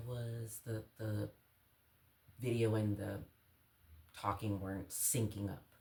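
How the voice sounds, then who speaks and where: A soft-spoken woman's somewhat breathy voice, dark and mellow in tone. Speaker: outdoor vlogger. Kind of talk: casual gear show-and-tell vlog. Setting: at home early morning. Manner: quiet, soft-spoken.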